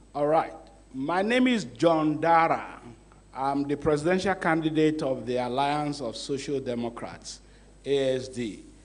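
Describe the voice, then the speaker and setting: With audible room echo around him, a man with a fairly high pitch talks at a fairly slow pace. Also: ordinary pitch variation. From Nigeria, Kwara State. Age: 60s. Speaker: presidential candidate. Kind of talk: debate opening statement.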